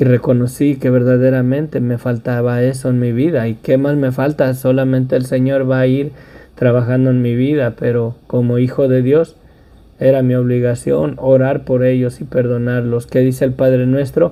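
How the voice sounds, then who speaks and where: A man talks at a moderate pace and a medium pitch. His dark, mellow tone stays in monotone, flat intonation. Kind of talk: sermon.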